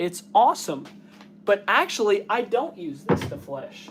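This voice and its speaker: Speaking in a Kentucky accent, a man goes at a fairly slow pace. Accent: Southern US (Kentucky). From US South, south central Kentucky. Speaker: taxidermist and outdoor YouTuber. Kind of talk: casual live stream chat.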